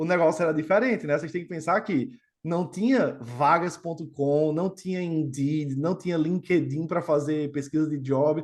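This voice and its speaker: An unremarkable speaking voice from a man with fairly high pitch, ordinary pitch variation and a moderate pace against a quiet background. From Brazil, Natal, Rio Grande do Norte (Northeast). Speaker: quantitative trading executive. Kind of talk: podcast interview. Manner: casual, conversational with many fillers.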